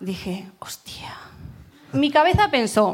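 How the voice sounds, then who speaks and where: A woman's fairly high voice at a very slow pace. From Burgos, Spain. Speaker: audience member telling a story. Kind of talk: storytelling to a live audience.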